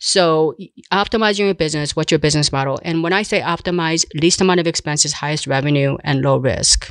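A woman with a very deep, low pitch talks at a very fast pace with hardly any pauses. Her pitch varies in an ordinary way. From South Korea. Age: 60s. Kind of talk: interview.

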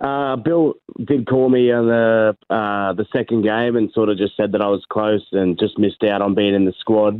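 In an Australian accent, a man talks at a fairly low pitch with fairly even intonation and very even loudness. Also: moderate pace, hardly any pauses. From Hervey Bay, Queensland, Australia. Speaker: rugby league player. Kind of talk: interview.

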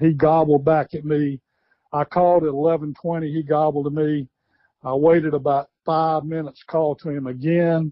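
This speaker has a Southern US accent, a moderate pace and monotone, flat intonation. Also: man, fairly high pitch for a man. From US South, South Carolina. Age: 60s. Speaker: retired wildlife biologist and turkey call maker. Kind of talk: interview.

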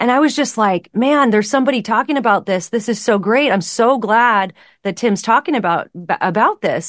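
A woman with a plain, everyday voice speaks at a fairly quick pace and fairly high pitch, her loudness very even and her pitch varying in an ordinary way, in a dry, close sound with no echo over a quiet background. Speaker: author and speaker. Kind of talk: casual interview chat.

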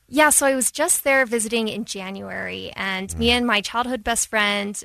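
A woman's fairly high, bright and sharp voice in a Midwestern American accent, dry and close with no echo, over a quiet background. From Dayton, Ohio, US Midwest. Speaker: newspaper journalist. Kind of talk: radio interview. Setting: radio studio.

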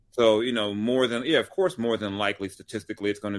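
An ordinary speaking voice, a man with an American accent talks at a fairly low pitch with ordinary pitch variation. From Los Angeles, US West Coast. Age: 40s. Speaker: sports and culture writer. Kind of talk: casual chat.

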